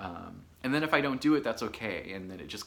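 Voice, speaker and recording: Talking at a fairly quick pace with lively intonation, a man speaks in a Michigan accent. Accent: sounds like Michigan people. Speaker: knitting podcaster. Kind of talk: casual chat. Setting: home studio. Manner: animated.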